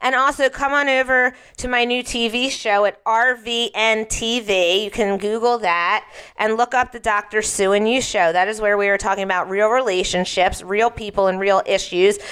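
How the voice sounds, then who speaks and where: A woman speaks at a moderate pace in an unremarkable speaking voice with an American accent. Her pitch is fairly high, and her intonation fairly even. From Philadelphia. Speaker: radio host and parenting expert. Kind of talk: radio talk show. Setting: studio.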